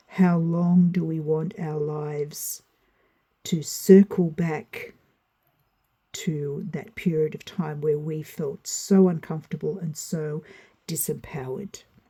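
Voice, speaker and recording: At a very slow pace, a woman with a very deep, low pitch speaks in a dark, mellow, somewhat breathy tone, her intonation fairly even but her loudness swinging widely. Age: 60s. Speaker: tarot reader. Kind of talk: spoken tutorial.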